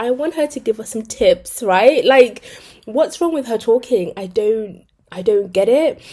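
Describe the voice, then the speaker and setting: The tone is dark and mellow, with a British accent. The pace is fairly slow. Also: woman. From Britain. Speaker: commentary youtuber. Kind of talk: casual video commentary. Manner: chatty, hesitant fillers.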